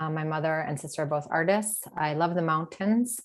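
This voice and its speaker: A woman with an American accent, a normal speaking voice, a moderate pace and ordinary pitch variation. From US Midwest, Detroit, Michigan. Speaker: leadership coach. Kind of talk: webinar talk.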